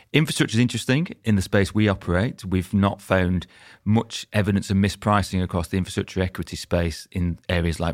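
A man with a Lancashire accent talks at a very fast pace. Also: very clean recording, silent background. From Lancashire, northern England (former mining town). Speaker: real estate investment executive. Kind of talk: podcast interview.

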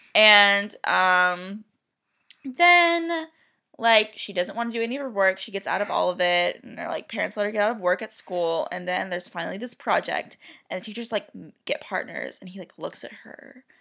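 Recorded very cleanly against a silent background, a woman speaks at a moderate pace with medium pitch, lively intonation and a bright, sharp tone. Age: 20s. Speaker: vet clinic worker, host's sister. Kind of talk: casual chat. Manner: mumbling.

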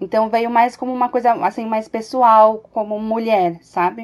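Speaking in a normal speaking voice, a woman with a fairly high pitch talks at a fairly slow pace. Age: 30s. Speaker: mother, pedagogue. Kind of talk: casual chat.

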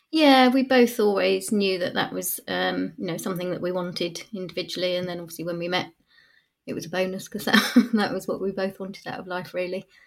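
On a very clean recording with a silent background, a woman with an English accent talks at a fairly quick pace. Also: medium pitch for a woman, ordinary pitch variation. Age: 40s. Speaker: adoptive parent. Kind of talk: interview. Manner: halting.

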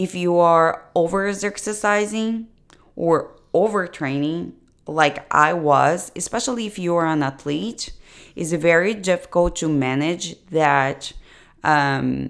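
A woman with a non-native accent speaks at a very slow pace. Her pitch is very deep and low. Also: very clean recording, silent background. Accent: foreign. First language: not English. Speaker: nutrition coach. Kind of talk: solo podcast monologue. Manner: hesitant, many fillers.

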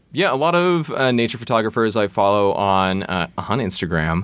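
A man with an American accent speaks at a moderate pace and a fairly low pitch in a plain, everyday voice, on a very clean recording with a silent background. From Texas, Austin. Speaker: faux expert guest. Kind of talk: casual chat.

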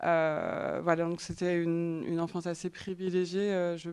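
A woman's fairly low voice at a very slow pace. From French Alps. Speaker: artist and designer. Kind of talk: artist talk.

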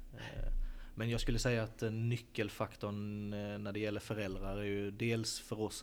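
Flat, monotone speech comes through with audible room echo. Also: man. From Sölvesborg, Blekinge, Sweden. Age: 20s. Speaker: football academy director. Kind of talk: interview. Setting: stadium stands.

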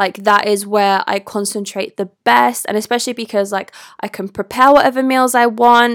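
A woman with a British accent speaks at a moderate pace, her pitch fairly high and her intonation fairly even. The recording is very clean and dry, close with no echo, over a silent background. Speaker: podcast host and content creator. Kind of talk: casual solo monologue.

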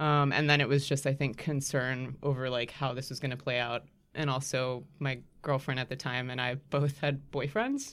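On a very clean recording with a silent background, a woman with a very deep, low pitch and an American accent speaks at a moderate pace in a monotone, flat intonation. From Miami, Florida, US. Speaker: singer-songwriter and designer. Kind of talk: casual chat.

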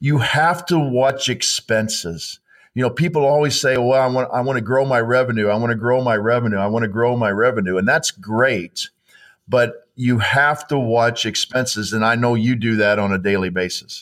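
An ordinary speaking voice at a moderate pace, with ordinary pitch variation and very even loudness. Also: man, medium pitch for a man. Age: 50s. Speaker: financial advisor. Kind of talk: casual interview chat.

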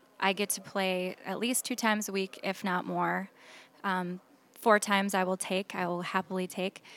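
On a very clean recording with a silent background and a dry, close sound with no echo, a woman with an Upper Midwest accent speaks at a moderate pace and medium pitch in a flat monotone. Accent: Upper Midwest American. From Minnesota, Saint Paul. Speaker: singer. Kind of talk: casual chat. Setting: restaurant bar.

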